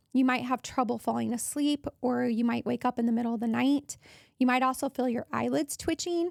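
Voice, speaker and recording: A high-pitched woman at a fairly quick pace, with fairly even intonation and very even loudness, in a dry, close sound with no echo on a very clean recording with a silent background. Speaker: wellness podcast host. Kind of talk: health podcast monologue. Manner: casual, conversational.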